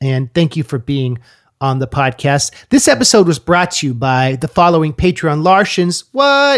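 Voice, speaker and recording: With an American accent and a normal speaking voice, the speaker goes fairly slowly with lively intonation, in a very clean, dry, close recording with no echo and a silent background. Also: man. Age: 30s. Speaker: podcast host and rapper. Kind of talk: casual interview chat; podcast monologue.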